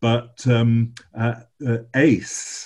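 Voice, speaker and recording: This man has a dark, mellow tone, a medium pitch and an English accent. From England. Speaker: bishop. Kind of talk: interview. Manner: halting.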